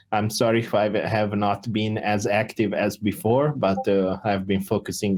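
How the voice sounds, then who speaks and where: On a very clean recording with a silent background, a man speaks in a fairly low pitch with fairly even intonation. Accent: Italian. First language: Italian. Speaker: crypto project founder. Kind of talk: community Q&A voice chat. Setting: Discord voice call.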